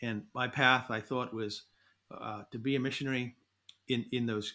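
Bright and sharp in tone, a man's voice sits at a medium pitch with monotone, flat intonation. It is captured on a very clean recording with a silent background. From New Zealand. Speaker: environmental advocate. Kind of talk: interview. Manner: halting, many fillers.

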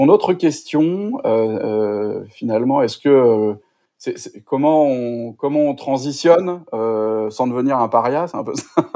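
Dark and mellow in tone, this man's fairly high voice moves at a very slow pace with ordinary pitch variation. The recording is very clean, with a silent background. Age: 40s. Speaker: sustainability coach. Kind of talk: interview conversation. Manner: halting, many repetitions and fillers.

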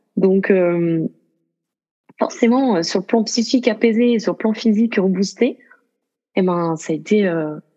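Her medium-pitched voice dark and mellow, a woman talks at a fairly slow pace with lively intonation and long, frequent pauses. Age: 30s. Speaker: yoga student and association president. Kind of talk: interview.

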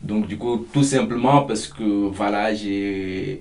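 A man's pitch moves by a normal amount as clear background noise and audible room echo surround his voice. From Mauritania. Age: 20s. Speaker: migrant, volunteer. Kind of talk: interview testimony. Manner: hesitant, lots of fillers.

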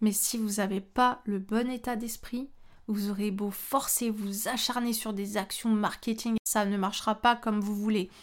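A fairly high-pitched woman's voice with monotone, flat intonation on a very clean recording with a silent background. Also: fairly slow pace. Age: 20s. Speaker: photographer and trainer. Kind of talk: solo podcast monologue. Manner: casual.

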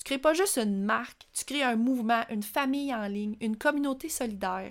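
With a Quebec accent, a woman with a fairly high pitch talks at a fairly quick pace with lively intonation on a very clean recording with a silent background. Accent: Québécois French. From rural Quebec, Centre-du-Québec. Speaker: podcast host, personal branding entrepreneur. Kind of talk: solo podcast monologue.

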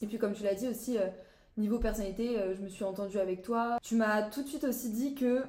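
Amid noticeable background noise and audible room echo, a woman speaks with fairly even intonation at a fairly high pitch. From France, Brittany (Saint-Malo). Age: young. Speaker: student apprentice. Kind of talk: casual chat.

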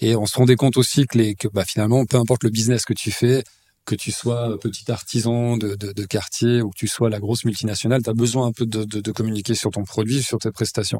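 On a very clean recording with a silent background, a man of medium pitch talks very fast in a dark, mellow tone with fairly even intonation. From Switzerland, Lausanne (Vaud). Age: 30s. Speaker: real estate agency CEO. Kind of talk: interview.

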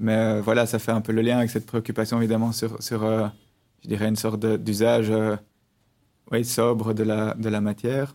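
A man speaks at a moderate pace and medium pitch with a dark, mellow tone, in a monotone, flat intonation at very even loudness, leaving long, frequent pauses. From Belgium, Brussels. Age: 30s. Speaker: architect, collective co-founder. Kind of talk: interview.

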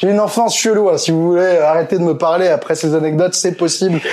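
A high-pitched man talking at a fairly quick pace. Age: 30s. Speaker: political YouTuber. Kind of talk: casual interview.

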